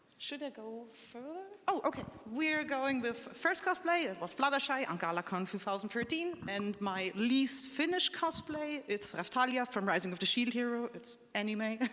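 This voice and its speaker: The speaker has a German accent and a moderate pace, with very wide pitch swings. Noticeable background noise can be heard. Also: woman, high pitch for a woman. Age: 20s. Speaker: cosplayer panelist. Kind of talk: convention panel talk.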